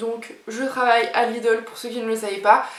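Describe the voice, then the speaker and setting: A woman's voice carrying audible room echo. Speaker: YouTuber. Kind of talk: casual vlog talk to camera. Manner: chatty, hesitant with fillers.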